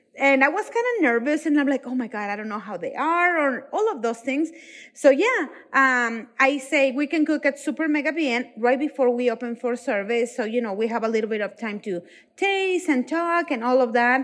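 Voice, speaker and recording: Against a quiet background, a woman speaks at a high pitch and a moderate pace. Her intonation is lively. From Mexico. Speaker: chef and restaurant owner. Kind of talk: interview. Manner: animated.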